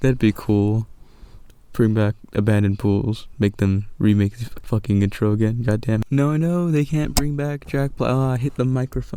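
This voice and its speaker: A man talks at a medium pitch in a dark, mellow tone, with ordinary pitch variation. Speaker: YouTube commentator. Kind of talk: casual video essay commentary. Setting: recording under blankets. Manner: halting, stuttering.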